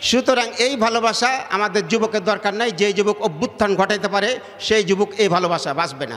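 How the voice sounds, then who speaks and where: Noticeable background noise under a man's high pitch. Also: ordinary pitch variation, very even loudness. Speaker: Islamic preacher. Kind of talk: religious sermon to a gathering. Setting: outdoor public gathering, PA system.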